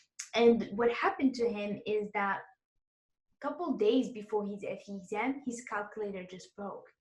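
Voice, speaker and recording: The somewhat breathy voice moves at a moderate pace, with big swings in loudness. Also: woman, fairly high pitch for a woman, ordinary pitch variation. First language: Arabic and French. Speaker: exam prep course host, interviewer. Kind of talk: interview.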